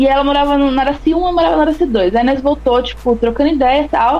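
Over noticeable background noise, a woman speaks fairly quickly in a high pitch. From interior of São Paulo state, São Carlos. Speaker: rapper. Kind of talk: casual interview.

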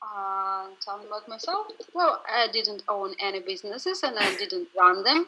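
A fairly high-pitched woman's voice at a moderate pace with very wide pitch swings, over noticeable background noise. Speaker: customer support manager, interpreter. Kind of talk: interview.

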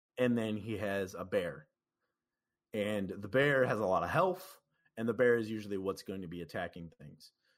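A man with a fairly low pitch talks at a moderate pace, using ordinary pitch variation and big swings in loudness. The recording is very clean, with a silent background. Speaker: gamer and musician. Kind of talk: casual interview chat. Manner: hesitant, filler-heavy.

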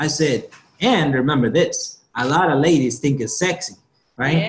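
This man has a fairly high, somewhat breathy voice with ordinary pitch variation. He speaks at a moderate pace. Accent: non-native. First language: not English. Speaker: motivational speaker. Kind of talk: interview. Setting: video call.

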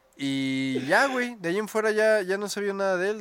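In a very clean recording with a silent background, a man with a Mexican accent speaks with very wide pitch swings. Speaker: podcast host. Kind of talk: casual chat.

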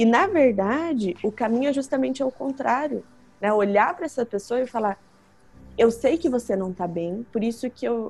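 A woman with a Curitiba accent speaks at a fairly high pitch with lively intonation. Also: moderate pace. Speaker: psychologist. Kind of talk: interview. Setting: remote call.

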